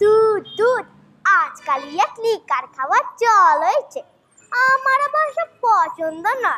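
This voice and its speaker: A woman's put-on character voice, extremely high-pitched with very wide pitch swings, at a fairly slow pace. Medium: stage play. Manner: testy, gruff.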